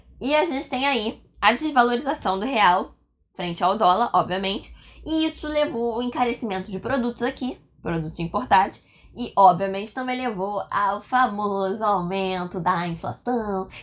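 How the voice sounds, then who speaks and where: A woman with a fairly high pitch speaks at a moderate pace. Her tone is animated and her intonation lively. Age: 20s. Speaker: history teacher. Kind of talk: lecture.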